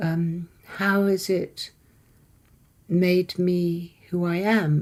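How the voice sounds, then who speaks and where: This woman has a dark, mellow tone at a medium pitch, with a southern English accent. Her intonation stays fairly even. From England, Isle of Wight. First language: Persian. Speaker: poet. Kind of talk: interview.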